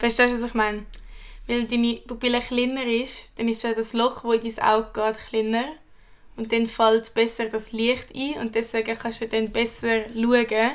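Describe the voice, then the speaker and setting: In a very clean recording with a silent background, a woman speaks in a monotone, flat intonation. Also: fairly high pitch for a woman, moderate pace. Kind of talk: casual chat.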